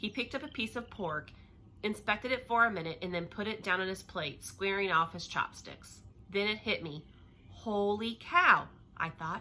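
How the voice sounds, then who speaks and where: A loud woman with a bright, sharp tone and medium pitch talks with lively intonation. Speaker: teacher reading a novel to children. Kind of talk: reading aloud. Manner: fast.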